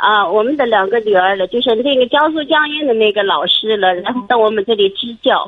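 An ordinary speaking voice runs at a fairly quick pace with lively intonation and hardly any pauses. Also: woman, fairly high pitch for a woman. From Shanxi. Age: 50s. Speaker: primary school teacher, caller. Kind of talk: phone-in advice call. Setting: phone call.

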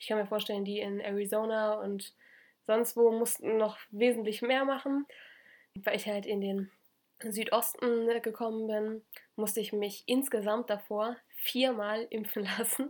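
A woman talks in a fairly high pitch at a fairly slow pace. Her intonation is monotone and flat, on a very clean recording with a silent background. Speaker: podcast co-host, former exchange student. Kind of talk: casual chat.

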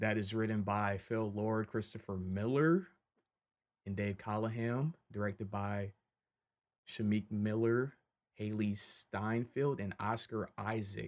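On a very clean recording with a silent background, a man with an unremarkable speaking voice and a fairly low pitch talks fairly slowly. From Michigan. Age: 20s. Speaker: podcast host, film commentator. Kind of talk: solo casual commentary. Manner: casual, many fillers.

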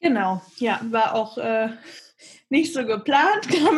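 At a very slow pace, a woman talks with lively intonation and a fairly high pitch. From Hesse, Germany (Bad Homburg near Frankfurt). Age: 20s. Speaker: marketing worker and aspiring yoga teacher and coach. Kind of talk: coaching conversation. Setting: video call. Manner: halting.

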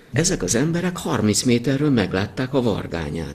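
Noticeable background noise runs through the clip. A man talks fairly slowly over it. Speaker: winemaker. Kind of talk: interview.

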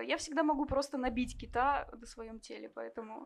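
Here a woman talks with a high pitch at a moderate pace. Her pitch variation is ordinary. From Kovrov, Russia. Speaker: cook, audience member. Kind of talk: interview on stage. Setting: bar stage with live audience.

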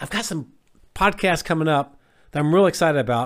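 An unremarkable speaking voice from a man, fairly high in pitch and at a fairly quick pace, on a very clean recording with a silent background. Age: 50s. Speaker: health coach. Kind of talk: motivational monologue.

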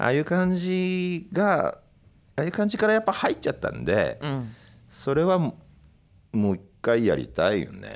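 A man speaks in a calm tone at a moderate pace. The recording is very clean, with a silent background. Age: 50s. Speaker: record label head and podcast host. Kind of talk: casual chat. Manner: calm, deep delivery.

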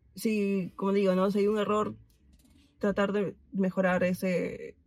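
A woman talks at a fairly slow pace in a medium pitch. Her intonation is monotone and flat, and her voice is somewhat breathy. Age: 20s. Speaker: friend of the host. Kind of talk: casual chat.

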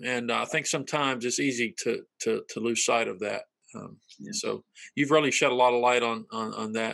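Recorded dry and close with no echo over a quiet background, a man with an American accent talks at a fairly quick pace. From North Carolina. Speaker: pastor and interview host. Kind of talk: casual interview conversation. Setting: video call.

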